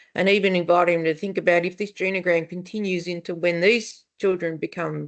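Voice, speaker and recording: Here a woman speaks with an Australian accent and a fairly low pitch. The background is quiet. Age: 60s. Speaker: family therapist. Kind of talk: webinar panel discussion. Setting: online webinar. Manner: conversational, with fillers and restarts.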